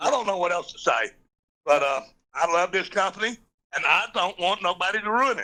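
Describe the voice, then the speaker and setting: This man's voice is high-pitched, raised and projected, with a bright, sharp tone. He moves at a fairly quick pace, breaks it with long, frequent pauses, and shows ordinary pitch variation. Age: 60s. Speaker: truck driver. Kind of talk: call-in comment. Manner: halting.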